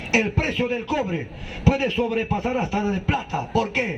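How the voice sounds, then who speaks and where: A man speaks animatedly, with noticeable background noise behind him. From Peru, Ancash highlands (Congas). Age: 70s. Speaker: street orator, historian. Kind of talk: political speech.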